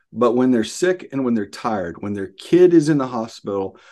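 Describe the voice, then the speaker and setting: Against a quiet background, a man with a Southern US accent talks at a medium pitch with very wide pitch swings. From Arkansas, US South. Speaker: pastor. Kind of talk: casual interview.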